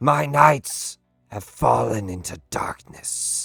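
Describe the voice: A man's hissing, put-on character voice, fairly low in pitch with very wide pitch swings and a very slow pace, over faint music in the background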